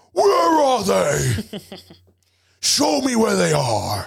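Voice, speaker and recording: At a very slow pace, a man performs a put-on character voice. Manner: menacing, demanding.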